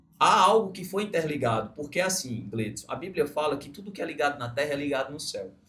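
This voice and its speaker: An unremarkable speaking voice moves at a fairly quick pace with hardly any pauses, lively intonation and big swings in loudness. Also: man, fairly high pitch for a man. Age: 30s. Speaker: podcast host, entrepreneur. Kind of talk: interview podcast. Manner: casual, reflective storytelling.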